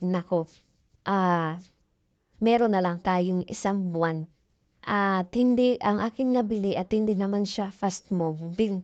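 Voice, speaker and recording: Over a quiet background, a woman speaks at a fairly slow pace. Her medium pitch carries fairly even intonation. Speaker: sari-sari store owner and vlogger. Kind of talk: casual vlog tutorial. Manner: halting, many fillers.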